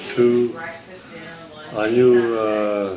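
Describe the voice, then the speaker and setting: Background noise is noticeable throughout. The room also has an audible echo. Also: man. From Transylvania (Romania/Hungary), then New York from age 10. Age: 80s+. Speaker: family elder interviewee. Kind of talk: oral history interview. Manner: halting.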